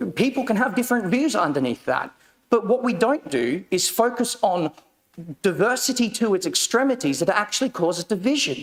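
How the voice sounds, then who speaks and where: Speaking in an Australian accent at a fairly quick pace, the voice has lively intonation and very even loudness. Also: man, high pitch for a man. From Australia and Papua New Guinea. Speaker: county councillor. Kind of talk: council meeting debate answer. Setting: council chamber. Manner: impassioned; halting.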